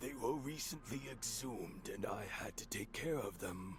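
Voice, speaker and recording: Against loud background noise, a man of medium pitch performs a put-on character voice. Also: moderate pace. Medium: video game. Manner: terse, questioning.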